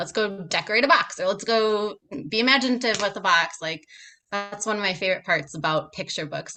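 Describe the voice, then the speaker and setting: A woman with an Upper Midwest accent at a very fast pace, music in the background. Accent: Upper Midwest American. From Minnesota, USA. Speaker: picture book writer and former pre-K teacher. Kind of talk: podcast interview answer. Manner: casual, chatty.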